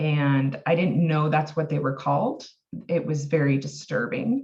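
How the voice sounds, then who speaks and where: A woman talks in a very deep, low pitch, her voice somewhat breathy. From US Pacific Northwest, Oregon. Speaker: health and wellness coach, therapeutic harp practitioner. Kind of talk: personal testimony in podcast interview. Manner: halting, many fillers.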